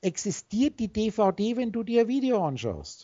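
A woman speaks over a quiet background. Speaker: spiritual teacher on a call. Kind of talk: instructive monologue to a call partner. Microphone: video call.

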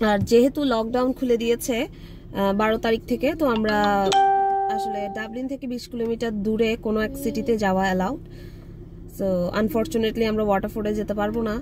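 A woman speaks with a dry sound that has no echo, while clear music plays in the background. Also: fairly even intonation. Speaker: vlogger. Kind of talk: casual vlog chat. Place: car. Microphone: phone near.

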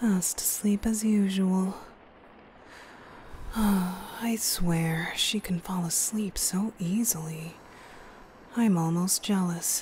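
The soft-spoken voice leaves long, frequent pauses, recorded dry with no echo over light background noise. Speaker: ASMR roleplay voice actor. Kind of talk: soft ASMR roleplay monologue. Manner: soft, hushed voice beside a sleeping sister.

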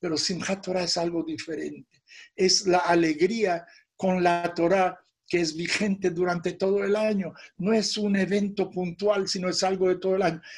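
Against a quiet background, a man with a high pitch talks at a moderate pace in a monotone, flat intonation. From born in Europe, raised in the Americas. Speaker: rabbi. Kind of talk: religious teaching talk. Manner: conversational. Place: home room. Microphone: phone near.

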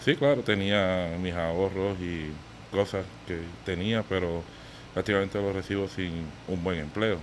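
A man speaks at a fairly slow pace. His voice has a very deep, low pitch. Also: ordinary pitch variation. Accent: Puerto Rican. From Puerto Rico, Bayamón. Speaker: contractor, business owner. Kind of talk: casual interview.

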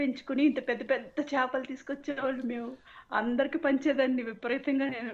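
A woman speaks in a high pitch. Her intonation is monotone and flat. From Andhra Pradesh (Palakollu, West Godavari). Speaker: caller. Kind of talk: casual chat.

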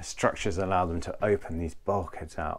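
The pace is moderate. It's a man talking. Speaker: yacht reviewer. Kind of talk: boat tour walkthrough. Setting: outdoors on a sailing catamaran. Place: boat. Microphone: phone near.

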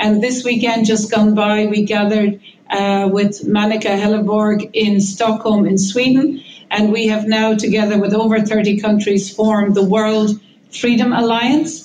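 In an Irish accent, a woman with a fairly high pitch talks in a monotone, flat way at a very even loudness, her voice somewhat breathy. Audible room echo and light background noise are present. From Ireland. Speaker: professor of immunology, campaigner; professor of immunology. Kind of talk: press conference statement. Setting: press conference. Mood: urgent, earnest. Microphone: video call.

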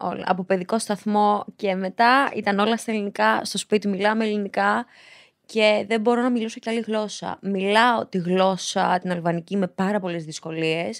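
A woman's normal speaking voice, medium in pitch, with fairly even intonation over a quiet background. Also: moderate pace. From Greece, Piraeus (born in Albania); Greece. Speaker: reality show contestant; podcast guest. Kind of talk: casual interview. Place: studio. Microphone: studio mic.

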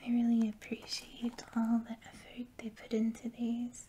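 Soft-spoken and relaxed, a woman with a fairly high pitch speaks very slowly in a flat monotone over light background noise. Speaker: ASMR creator. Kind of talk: ASMR box opening, casual talk to camera. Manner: soft-spoken, slow, relaxed.

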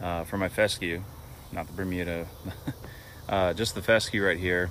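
A man's very deep, low voice at a moderate pace, fairly even in intonation, dry with no echo, over light background noise. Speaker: homeowner lawn care vlogger. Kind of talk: casual vlog chat. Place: garden. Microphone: phone near.

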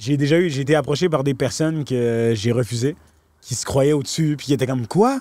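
Sounding animated, a man speaks fairly quickly at a fairly high pitch, the sound dry with no echo. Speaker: talent manager and fixer for celebrities; podcast guest. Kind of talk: casual podcast interview, storytelling. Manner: animated, mixes English slang into French. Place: farm machine. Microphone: handheld.

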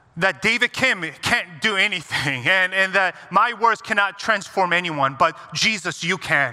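A man's raised, projected voice at a moderate pace, with ordinary pitch variation. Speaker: guest pastor. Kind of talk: sermon prayer. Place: church.

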